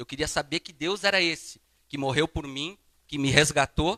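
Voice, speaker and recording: At a moderate pace, a man with a fairly high pitch and a bright, sharp tone talks with ordinary pitch variation, the sound dry and close with no echo. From southern Brazil, Paraná (Londrina). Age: 30s. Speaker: guest preacher. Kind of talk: sermon with personal testimony. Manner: casual, conversational.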